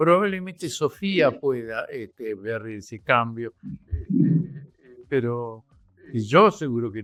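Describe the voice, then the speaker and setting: Over music in the background, a man of medium pitch speaks at a very slow pace with long, frequent pauses, very wide pitch swings and big swings in loudness. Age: 80s+. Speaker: journalist, writer and former guerrilla. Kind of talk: podcast interview.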